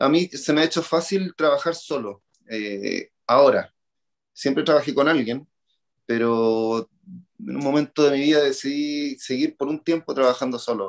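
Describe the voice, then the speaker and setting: A man with a fairly high pitch and a plain, everyday voice, fairly slow, with ordinary pitch variation and a dry, close sound with no echo. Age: 40s. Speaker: triathlon coach. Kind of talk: interview.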